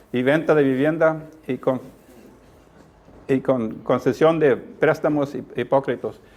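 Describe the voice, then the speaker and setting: A man talks at a very slow pace in a fairly high voice. His intonation stays fairly even. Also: long, frequent pauses. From Texas, Corpus Christi. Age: old. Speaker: community activist. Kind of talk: presentation. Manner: halting.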